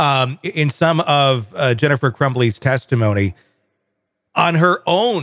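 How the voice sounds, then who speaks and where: A man's plain, everyday voice at medium pitch, with lively intonation and a fairly slow pace, in a dry, close sound with no echo. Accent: American. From US Midwest. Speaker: podcast host. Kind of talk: casual discussion.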